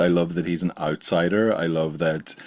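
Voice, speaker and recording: A man talks with an Irish accent. His pace is fairly slow. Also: very clean recording, silent background. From Ireland, small coastal town. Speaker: podcast host and science communicator. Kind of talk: casual interview chat.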